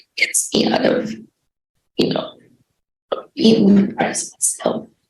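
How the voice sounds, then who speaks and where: Audible room echo surrounds a woman as she speaks. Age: 60s. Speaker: defendant's mother, witness. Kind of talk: court testimony. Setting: courtroom. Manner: halting.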